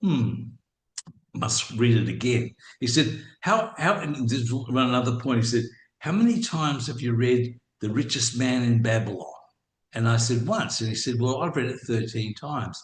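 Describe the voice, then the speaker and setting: Somewhat breathy, a man with an Australian accent talks at a moderate pace with ordinary pitch variation. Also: medium pitch for a man. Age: 70s. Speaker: businessman and property investor. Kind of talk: interview. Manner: halting.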